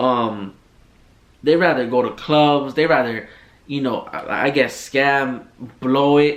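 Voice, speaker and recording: In an unremarkable speaking voice, a man talks fairly high for his sex, his pitch rising and falling in the usual way. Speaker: podcast host. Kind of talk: casual monologue rant.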